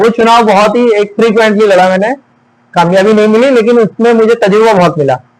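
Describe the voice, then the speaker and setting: Very even loudness with ordinary pitch variation. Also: man, high pitch for a man. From western Uttar Pradesh, India (Amroha). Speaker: lawyer and local politician. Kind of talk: interview.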